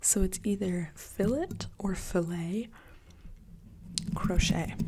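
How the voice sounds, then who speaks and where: Whispering at a very slow pace. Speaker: ASMR creator. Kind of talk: ASMR whisper rambling. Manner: whispered; casual, rambling.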